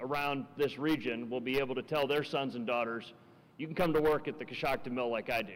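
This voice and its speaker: A man with a fairly high pitch and an American accent. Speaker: state politician. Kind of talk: ceremony speech. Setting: ribbon-cutting ceremony with audience. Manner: formal.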